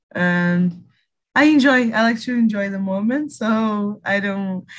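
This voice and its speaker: With a Portuguese accent, a woman speaks at medium pitch with ordinary variation. Her voice is somewhat breathy. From Brazil, Rio de Janeiro. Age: 20s. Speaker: English learner. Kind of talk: casual group conversation practice. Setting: video call.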